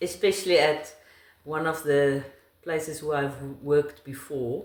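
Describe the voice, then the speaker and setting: A woman speaks at a moderate pace with a very deep, low voice and a South African accent. Room echo is audible. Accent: South African Afrikaans. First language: Afrikaans. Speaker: interviewee, wife of the channel host. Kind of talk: casual interview chat.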